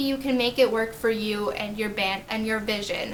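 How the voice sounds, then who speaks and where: Amid noticeable background noise and audible room echo, a woman with a fairly high pitch speaks at a moderate pace with fairly even intonation. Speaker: YouTuber and accessibility advocate. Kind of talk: vlog talking to camera.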